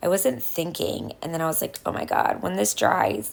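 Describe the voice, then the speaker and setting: A woman speaks at a fairly low pitch and a fairly quick pace. Vocal fry runs through her voice. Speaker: craft YouTuber. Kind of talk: tutorial. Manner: casual, filler-heavy.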